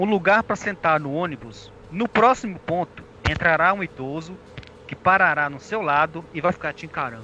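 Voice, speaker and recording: A man at high pitch with very wide pitch swings, at a moderate pace. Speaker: comedy web radio co-host. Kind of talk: comedy news bits.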